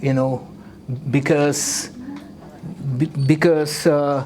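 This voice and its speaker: This man talks at a very slow pace with a Russian accent. His voice sits fairly high, and his intonation stays fairly even. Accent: Russian accent, non-native English. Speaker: artist. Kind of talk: live art demo tutorial. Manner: halting, with hesitations.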